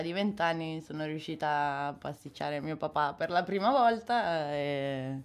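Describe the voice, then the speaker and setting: The background is silent and the recording very clean. The voice shows ordinary pitch variation. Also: woman. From Milan outskirts, northern Italy. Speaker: tattoo artist. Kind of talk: interview.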